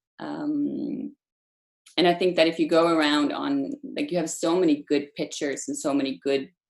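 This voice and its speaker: With a Norwegian accent, a woman speaks at a moderate pace. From Norway. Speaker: storytelling coach. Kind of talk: online workshop Q&A. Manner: casual with many fillers.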